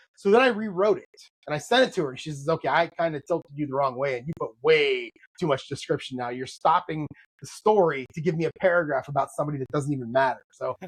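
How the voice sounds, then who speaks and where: A man with a fairly high pitch talks at a very fast pace, somewhat breathy, with big swings in loudness and ordinary pitch variation. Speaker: podcast host and novelist. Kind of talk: casual chat. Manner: halting.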